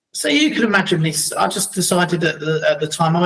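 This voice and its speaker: A man speaks with a London accent. His pitch sits high. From London, England (Battersea), later Crawley. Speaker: entrepreneur and speaker. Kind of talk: casual conversation.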